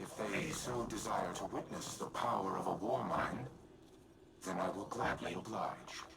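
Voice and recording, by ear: A man's put-on character voice, low in pitch with vocal fry and a fairly bright tone, robotic and processed, with ordinary pitch variation and audible room echo. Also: fairly slow pace.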